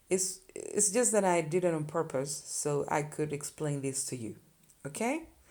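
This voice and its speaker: Fairly slow female speech with a dark, mellow tone, vocal fry and lively intonation. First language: Spanish. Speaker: Spanish teacher. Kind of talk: tutorial. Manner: casual, conversational.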